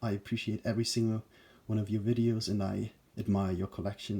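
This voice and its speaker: This man's fairly low voice is somewhat breathy, with a dark, mellow tone, monotone, flat intonation and a fairly quick pace. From Germany. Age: 20s. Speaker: YouTuber, movie collector. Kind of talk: casual video talk. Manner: hesitant, filler words.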